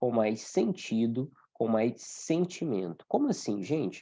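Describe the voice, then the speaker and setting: Over a quiet background, a man with a dark, mellow tone talks at a fairly slow pace, his pitch swinging very widely. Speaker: Umbanda study teacher. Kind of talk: online class lecture. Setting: video call with screen sharing.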